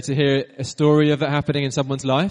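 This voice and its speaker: A man speaks with a British accent. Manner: hesitant, repeats words.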